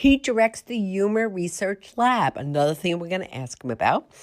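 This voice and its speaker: A woman with an American accent speaks in an animated tone, her pitch swinging very widely. The recording is very clean, with a silent background. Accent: Boston accent (she denies it). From US East Coast. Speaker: podcast host, nutrition professor. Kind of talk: interview podcast.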